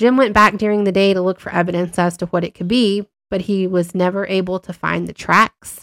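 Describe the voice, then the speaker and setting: A woman with a plain, everyday voice speaks at a moderate pace and medium pitch, the sound dry and close with no echo on a very clean recording with a silent background. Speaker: podcast host and tarot reader. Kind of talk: ghost story telling, hushed and suspenseful spooky narration. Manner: warm and conversational.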